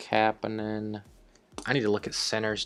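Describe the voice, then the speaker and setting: The speech moves at a fairly slow pace. Music sits in the background. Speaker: gaming YouTuber. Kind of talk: gameplay commentary. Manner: hesitant, many fillers.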